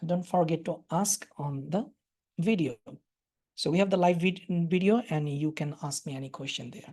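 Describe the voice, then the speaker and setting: A woman with a Bangladeshi accent speaks at a moderate pace in a somewhat breathy, fairly low voice, her intonation lively and her loudness swinging widely. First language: Bengali. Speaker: doctor teaching ultrasound. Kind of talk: lecture. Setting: webinar. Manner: halting.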